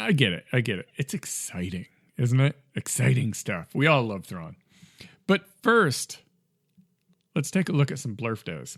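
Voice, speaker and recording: A man speaks at a medium pitch and a moderate pace, his voice swinging very widely in pitch with vocal fry and long, frequent pauses, on a very clean recording with a silent background and a dry, close sound with no echo. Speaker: gaming podcast host. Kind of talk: casual podcast talk. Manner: hesitant, many fillers.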